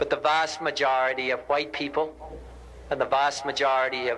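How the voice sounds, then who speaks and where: A man with an American accent speaks at a moderate pace in a fairly high pitch. His tone is solemn and his intonation monotone and flat. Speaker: politician giving a public speech. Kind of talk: impromptu public speech, eulogy and call for peace. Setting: outdoors, addressing a crowd in a park. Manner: solemn, earnest.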